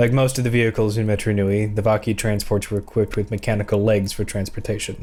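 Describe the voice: The clip is plain reading aloud with fairly even intonation.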